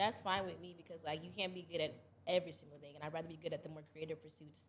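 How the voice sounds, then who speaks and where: The speech comes at a very fast pace, somewhat breathy, with big swings in loudness. The intonation stays monotone and flat. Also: woman, fairly low pitch for a woman. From North Carolina, Fayetteville. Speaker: content creator. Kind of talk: casual chat.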